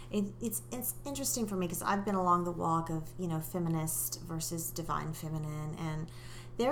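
Audible room echo surrounds the voice. A woman speaks at a fairly quick pace. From England, later US. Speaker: life coach and author. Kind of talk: interview.

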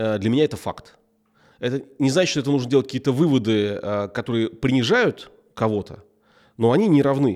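Recorded very cleanly against a silent background, a man at a medium pitch speaks at a fairly quick pace with ordinary pitch variation and long, frequent pauses. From Russia, grew up in military towns. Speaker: tech entrepreneur. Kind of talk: interview.

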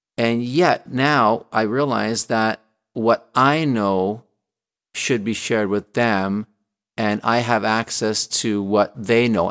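In a very clean recording with a silent background and a dry, close sound without echo, a man speaks at a medium pitch with ordinary pitch variation. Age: 60s. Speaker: former CEO, author and life coach. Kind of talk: interview. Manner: animated; halting, many repeated words.

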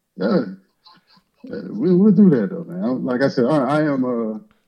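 A man's speech moves at a moderate pace, carried by lively intonation. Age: young. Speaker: caller. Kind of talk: casual chat.

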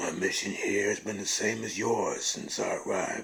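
A raspy man's voice at a fairly slow pace. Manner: calm, cryptic, quietly ominous.

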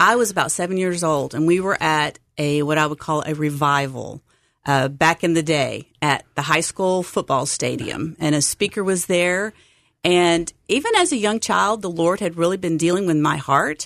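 Ordinary pitch variation and a moderate pace in a plain, everyday voice. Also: woman, fairly low pitch for a woman. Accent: American. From Texas. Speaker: seminary enrollment advisor. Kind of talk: interview.

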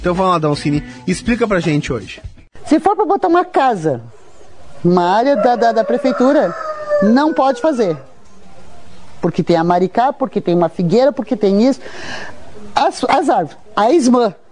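A high-pitched man at a moderate pace, with very wide pitch swings, long, frequent pauses and noticeable background noise. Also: very even loudness. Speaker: radio host. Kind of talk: casual radio presenting.

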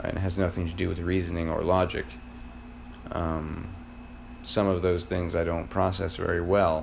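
A man with an American accent and a very deep, low pitch, fairly even intonation, long, frequent pauses and audible room echo. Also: moderate pace. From Florida. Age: 30s. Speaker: podcaster. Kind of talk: solo personal monologue. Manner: halting, many fillers.

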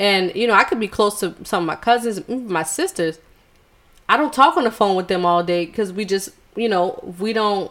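At a fairly quick pace, a woman with an unremarkable speaking voice talks at a medium pitch with ordinary pitch variation and an American accent. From US South, Charleston, South Carolina. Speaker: podcast co-host. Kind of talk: casual chat.

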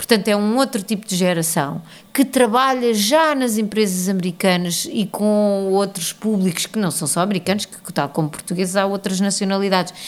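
A woman talks at a moderate pace with hardly any pauses. Hers is an ordinary speaking voice at medium pitch with ordinary pitch variation. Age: 40s. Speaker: arts organisation founder. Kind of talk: interview.

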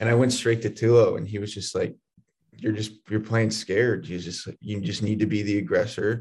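A man talks in a fairly low, somewhat breathy voice. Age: young. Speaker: college baseball pitcher. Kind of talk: interview.

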